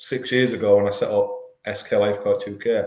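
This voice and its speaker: Here a man speaks at a moderate pace. Room echo is audible. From northern England, Hull. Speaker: life coach, former demolition worker. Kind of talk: podcast interview. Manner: halting.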